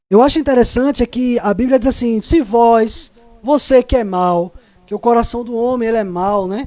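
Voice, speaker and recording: Extremely high-pitched male voice at a moderate pace with ordinary pitch variation. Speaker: Bible study teacher. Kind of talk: Bible study lesson.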